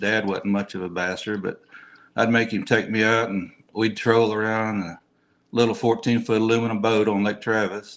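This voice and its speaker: This man has an American accent and a fairly low pitch. He speaks at a moderate pace in a flat, monotone delivery. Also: quiet background. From Texas, Austin area. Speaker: tournament angler. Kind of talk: interview.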